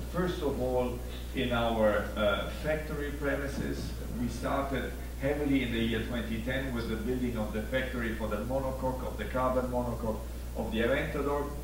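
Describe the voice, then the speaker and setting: Through noticeable background noise and audible room echo, a man speaks in a very deep, low pitch with monotone, flat intonation. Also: moderate pace. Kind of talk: corporate presentation. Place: stage.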